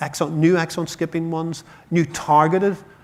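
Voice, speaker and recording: With an Irish accent, a man speaks in monotone, flat intonation. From Ireland. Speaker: chief scientific officer of a patient charity. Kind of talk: conference talk. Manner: fast.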